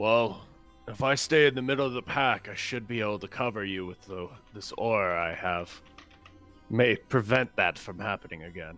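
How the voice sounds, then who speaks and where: Faint music plays in the background as a put-on character voice moves at a moderate pace with big swings in loudness. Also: man, medium pitch for a man. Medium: actual play. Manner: dry, composed.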